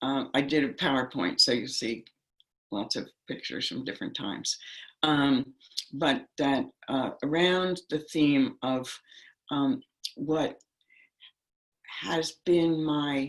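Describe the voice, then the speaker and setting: Very slowly and with long, frequent pauses, a woman with an American accent talks in a very deep, low pitch with ordinary pitch variation. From US Northeast (New York City, New Jersey). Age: 80s+. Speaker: meditation teacher and activist. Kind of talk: talk to an online workshop group. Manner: halting, many fillers.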